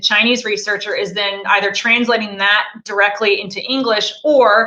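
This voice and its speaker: A woman is speaking. She has an American accent. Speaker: snow leopard researcher. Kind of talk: interview on live stream. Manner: fast.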